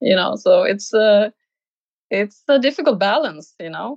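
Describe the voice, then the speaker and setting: A woman speaks with a Swedish accent. The sound is dry and close, with no echo. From Sweden, small village. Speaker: painter. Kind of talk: interview. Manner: halting.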